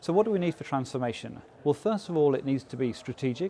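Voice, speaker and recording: A man with an English accent speaks at a fairly quick pace, his fairly high pitch paired with a dark, mellow tone. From England. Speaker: business process consultant. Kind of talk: interview. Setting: industry conference. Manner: hesitant with frequent fillers.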